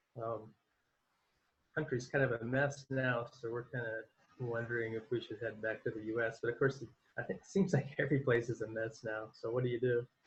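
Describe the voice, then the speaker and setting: Fairly quick, somewhat breathy speech with fairly even intonation. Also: man, medium pitch for a man. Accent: American. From Arizona, US. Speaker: election participant. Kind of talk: casual video chat.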